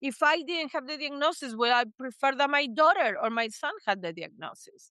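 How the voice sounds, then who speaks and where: A woman's high, raised and projected voice in a Spanish accent, bright and sharp in tone, lively in intonation, at a moderate pace. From Argentina, Buenos Aires. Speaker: psychotherapist. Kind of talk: interview. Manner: animated.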